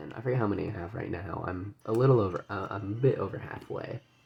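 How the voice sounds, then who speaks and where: A soft-spoken man with a fairly low voice talks at a moderate pace. His pitch varies in an ordinary way, with music playing in the background. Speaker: gaming video creator. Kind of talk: casual gameplay commentary. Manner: halting. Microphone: audio quiet.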